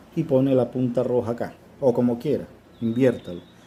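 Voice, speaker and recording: A man talks at a fairly quick pace. His voice is medium in pitch and dark, mellow in tone. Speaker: auto electrics instructor. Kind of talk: tutorial. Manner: repetitive, halting.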